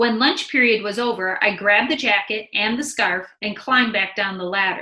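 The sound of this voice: The pitch varies in an ordinary way in an unforced reading voice.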